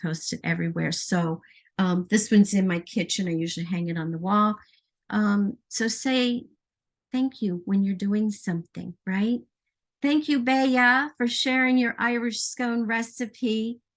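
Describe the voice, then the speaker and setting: Somewhat breathy, a woman speaks at a fairly slow pace and a fairly high pitch, with ordinary pitch variation. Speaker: baking and essential oils presenter. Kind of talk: live stream baking demonstration. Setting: home kitchen. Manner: hesitant, many fillers.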